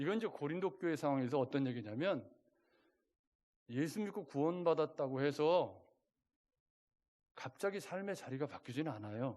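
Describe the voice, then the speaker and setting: Delivered at a moderate pace, the speech has lively intonation and long, frequent pauses. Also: man, fairly high pitch for a man. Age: 60s. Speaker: pastor. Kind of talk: sermon. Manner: conversational, rhetorical questions to congregation.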